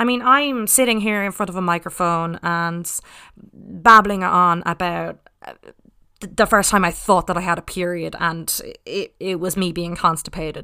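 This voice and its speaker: A woman speaks at a moderate pace and a medium pitch, her bright, sharp tone carrying ordinary pitch variation and big swings in loudness over a very clean recording with a silent background. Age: 20s. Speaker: podcast host. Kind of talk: casual monologue.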